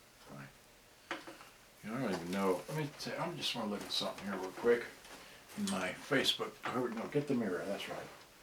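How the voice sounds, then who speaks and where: Amid noticeable background noise and audible room echo, a man with a medium pitch talks at a fairly quick pace, his pitch swinging very widely and broken by long, frequent pauses. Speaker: electronics repair hobbyist. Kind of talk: live-stream repair tutorial. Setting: live stream with camera at home. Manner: soft-spoken, not very loud; halting, many fillers.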